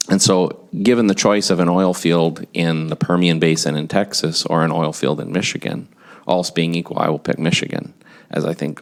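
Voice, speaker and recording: Delivered at a moderate pace with fairly even intonation and an American accent. Noticeable background noise sits behind the voice. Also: man. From US Midwest, Wisconsin (Kenosha). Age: 50s. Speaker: business executive, expert witness. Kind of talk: legislative testimony. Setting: committee hearing room.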